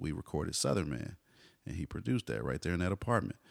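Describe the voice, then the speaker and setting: A man speaks with vocal fry in a dry, close sound with no echo. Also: very clean recording, silent background. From Texas, Garland (Dallas area). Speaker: hip hop artist and teacher. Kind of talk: casual interview.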